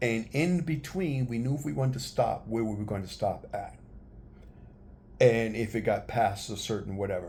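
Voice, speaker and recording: A man's medium-pitched, dark, mellow voice with vocal fry and an American accent. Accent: New York accent, noticed by others. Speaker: travel vlogger. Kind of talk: casual tutorial vlog. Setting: handheld camera, one take.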